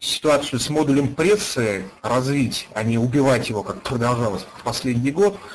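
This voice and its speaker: Speaking at a moderate pace with lively intonation, a man at a medium pitch has an ordinary speaking voice. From Russia, Ufa (Bashkortostan). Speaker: online game player, former radio and TV journalist. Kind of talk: interview.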